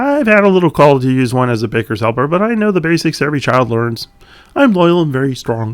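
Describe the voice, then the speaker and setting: A man uses a put-on character voice at a fairly high pitch, swinging very widely in pitch at a very fast pace. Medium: read story. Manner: self-deprecating, nervous.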